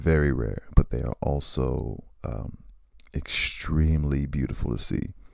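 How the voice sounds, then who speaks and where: A man speaks in a very deep, low pitch with a dark, mellow tone. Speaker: vlogger. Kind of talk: casual monologue. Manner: animated.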